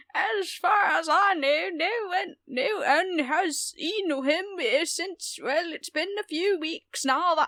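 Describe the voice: A woman's put-on character voice, extremely high in pitch and very slow in pace.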